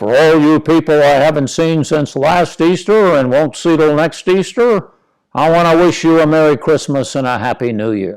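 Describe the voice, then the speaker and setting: A put-on character voice comes out loud and booming at a moderate pace. The recording is very clean with a silent background. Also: man, fairly high pitch for a man. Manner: announcing, sarcastic.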